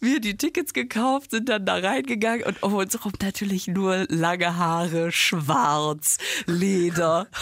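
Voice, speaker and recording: A woman speaks very slowly with lively intonation and very even loudness. The recording is very clean, with a silent background. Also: medium pitch for a woman. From Germany, near Düsseldorf. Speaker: podcast co-host and comedian. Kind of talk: casual chat.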